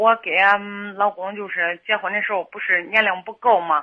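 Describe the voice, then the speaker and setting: Delivery moves at a moderate pace. Its intonation stays monotone and flat. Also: woman. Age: 30s. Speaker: caller seeking marriage advice. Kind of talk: phone-in advice call. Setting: phone call. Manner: halting. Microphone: volume fluctuates, sometimes too quiet.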